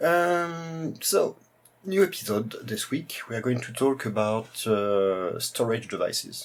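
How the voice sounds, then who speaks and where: At a fairly slow pace, a man with a strong French accent talks over noticeable background noise. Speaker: retro computer YouTuber. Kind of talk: tutorial presentation. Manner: hesitant, many fillers.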